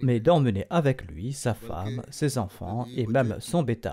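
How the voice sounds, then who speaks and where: A man talks with lively intonation at a medium pitch. His voice has vocal fry. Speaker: religious leader giving a sermon. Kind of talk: religious sermon delivered as historical narration.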